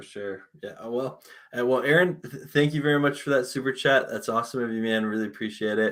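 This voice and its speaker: A man with an ordinary speaking voice, medium pitch, ordinary pitch variation, big swings in loudness and a fairly quick pace. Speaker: sports podcast host. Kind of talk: casual chat.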